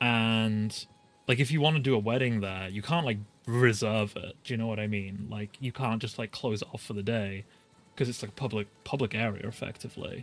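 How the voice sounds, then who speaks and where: Music plays behind a man speaking at a medium pitch. He talks fairly quickly, with fairly even intonation. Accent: British. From Britain. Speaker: vtuber game streamer. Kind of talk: casual live-stream chat while gaming.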